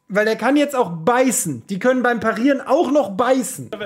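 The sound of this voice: A man speaks at an extremely high pitch with a slightly husky edge. His intonation is lively and his pace moderate.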